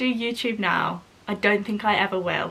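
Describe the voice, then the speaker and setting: At a moderate pace, a woman speaks in a southern English accent. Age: 20s. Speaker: vlogger. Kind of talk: casual vlog chat. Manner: chatty.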